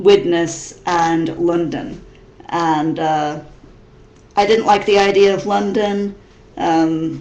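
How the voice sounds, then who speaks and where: A woman with an American accent talks at a very slow pace with long, frequent pauses, a fairly low pitch and ordinary pitch variation, amid noticeable background noise and audible room echo. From US Midwest (Missouri). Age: 30s. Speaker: vlogger. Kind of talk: casual webcam vlog. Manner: halting, many fillers and repetitions.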